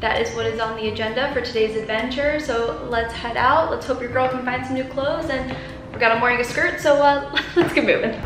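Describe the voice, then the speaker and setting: A woman with a high pitch and fairly even intonation speaks at a fairly quick pace, with audible room echo and noticeable background noise. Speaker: vlogger. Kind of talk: casual vlog chat. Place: home room. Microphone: camera far.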